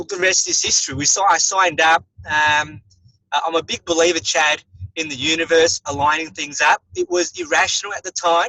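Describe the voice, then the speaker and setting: Spoken at a fairly quick pace in an Australian accent, the voice has a bright, sharp tone and fairly even intonation. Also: man, fairly high pitch for a man. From Australia, Melbourne. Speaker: dentist and network marketer. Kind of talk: interview. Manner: hesitant, many fillers.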